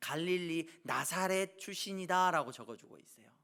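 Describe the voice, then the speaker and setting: A man talks at a fairly quick pace. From South Korea, Jeolla (Suncheon). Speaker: pastor. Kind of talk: sermon.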